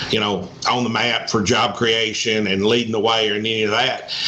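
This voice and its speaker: Amid noticeable background noise and audible room echo, a man speaks at medium pitch in a Southern US accent. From Arkansas. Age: 60s. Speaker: economic development executive. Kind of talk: interview.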